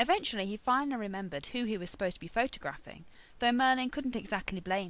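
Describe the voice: Ordinary pitch variation in plain reading aloud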